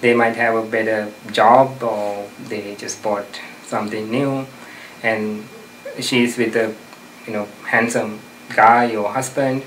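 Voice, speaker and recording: A man with a medium pitch talks very slowly in a monotone, flat intonation, pausing long and often. Background noise is noticeable, and room echo is audible. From outside the US. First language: not English. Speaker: self-help advice giver. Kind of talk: interview advice talk. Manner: hesitant, many fillers.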